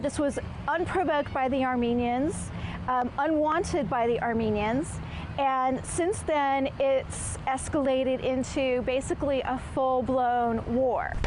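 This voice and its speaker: A woman's high-pitched voice at a fairly slow pace and very even loudness, over noticeable background noise. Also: ordinary pitch variation. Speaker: TV news anchor and reporter. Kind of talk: TV news anchor and field reporter delivery.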